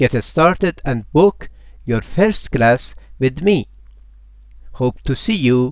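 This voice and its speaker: Speaking with a Persian accent, a man uses a fairly high pitch and lively intonation at a very slow pace, broken by long, frequent pauses. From Iran. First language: Farsi. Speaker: language teacher. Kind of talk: promotional self-introduction.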